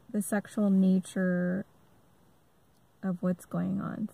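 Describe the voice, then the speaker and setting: Somewhat breathy, a woman talks at a very slow pace and a medium pitch. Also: dry, close sound with no echo, very clean recording, silent background. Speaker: army veteran. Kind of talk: personal testimony monologue. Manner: halting, stammers a lot; many filler ums.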